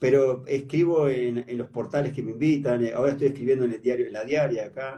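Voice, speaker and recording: A man with a Uruguayan accent, a dark, mellow tone and a somewhat breathy voice, fairly quick with hardly any pauses and a fairly even intonation. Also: medium pitch for a man. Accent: Uruguayan Rioplatense Spanish. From Uruguay, Paysandú. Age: 70s. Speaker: writer. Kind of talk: interview.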